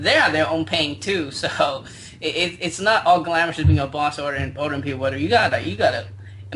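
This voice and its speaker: Noticeable background noise sits behind a man speaking at a fairly quick pace. His fairly high voice moves in very wide pitch swings. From China. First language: Chinese. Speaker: internet marketer. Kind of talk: interview. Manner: halting.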